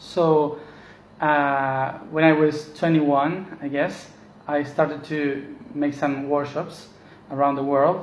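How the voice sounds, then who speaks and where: A man's fairly high voice with a Spanish accent, at a very slow pace in monotone, flat intonation, with audible room echo. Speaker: spiritual teacher. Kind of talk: casual monologue. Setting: at home. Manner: halting.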